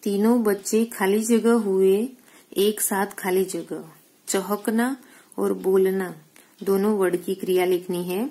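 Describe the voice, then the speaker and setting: In a Gujarati accent, a woman speaks at a medium pitch with fairly even intonation. Her tone is dark and mellow, on a very clean recording with a silent background. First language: Gujarati (speaking Hindi). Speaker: school teacher. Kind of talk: recorded lesson for pupils.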